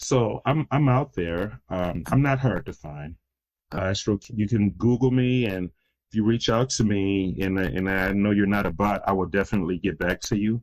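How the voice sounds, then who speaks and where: Heard on a very clean recording with a silent background, an unremarkable speaking voice with an American accent goes at a moderate pace with ordinary pitch variation. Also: man, fairly low pitch for a man. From US Midwest, Detroit, Michigan. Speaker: crisis intervention consultant. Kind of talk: podcast interview.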